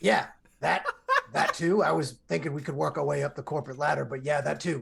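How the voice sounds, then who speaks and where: In a put-on character voice, a man talks at a fairly quick pace with a fairly high pitch and a raspy quality. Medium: actual play. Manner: blunt, scheming.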